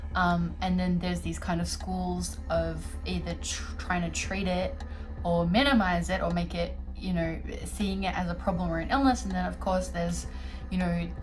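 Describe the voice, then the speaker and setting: A woman with an Australian accent at a moderate pace, music in the background. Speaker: holistic interior designer. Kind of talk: casual talk to camera. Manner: hesitant, reflective, many filler words.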